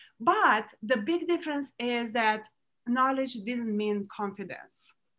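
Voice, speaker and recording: Speaking very slowly with a Romanian accent, a woman uses a high pitch, a bright, sharp tone and ordinary pitch variation. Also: very clean recording, silent background. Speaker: entrepreneur. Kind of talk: interview. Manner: halting.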